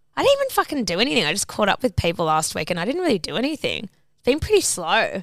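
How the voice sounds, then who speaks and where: A woman talks at a very fast pace in an Australian accent. Her pitch swings very widely. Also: fairly high pitch for a woman, hardly any pauses. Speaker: podcast co-host. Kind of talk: casual chat.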